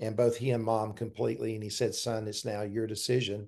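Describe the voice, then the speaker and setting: In a quiet background, a man speaks at a medium pitch with a Southern US accent. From US South, South Carolina. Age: 60s. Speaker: pastor and former university president. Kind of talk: interview.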